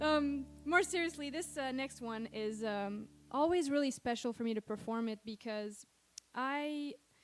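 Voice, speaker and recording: The speaker talks at a moderate pace with a slight French Canadian accent. Pitch varies in an ordinary way. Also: woman, high pitch for a woman. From Quebec, Montreal. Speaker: singer-songwriter. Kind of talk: stage banter between songs. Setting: stage with audience. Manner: casual, hesitant with fillers.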